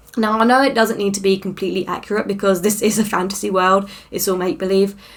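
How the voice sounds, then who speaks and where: Speaking at a very fast pace, a woman with a British accent keeps a medium pitch and fairly even intonation. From Britain. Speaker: fantasy author, vlogger. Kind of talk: casual vlog update. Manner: chatty, many fillers and self-corrections.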